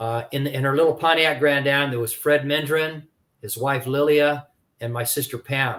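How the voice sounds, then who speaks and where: A man with an American accent speaks at a moderate pace and a fairly high pitch, with fairly even intonation. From California. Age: 60s. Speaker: ex-prisoner, author. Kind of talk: testimony. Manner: halting.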